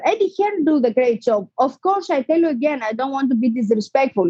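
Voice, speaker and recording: A woman with a non-native accent has a dark, mellow tone at a high pitch, her voice swinging very widely in pitch. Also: dry, close sound with no echo. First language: not English. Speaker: professional boxer. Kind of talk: interview. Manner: animated.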